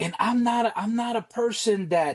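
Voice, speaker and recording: A man speaks with a Spanish accent. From Costa Rica. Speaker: Navy veteran, nonprofit founder. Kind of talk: podcast interview. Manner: halting, many repeated words.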